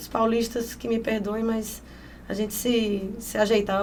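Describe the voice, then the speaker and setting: Audible room echo surrounds a woman speaking in a fairly high pitch. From Piauí, northeastern Brazil. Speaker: honey sommelier and entrepreneur. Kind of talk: podcast interview. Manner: animated.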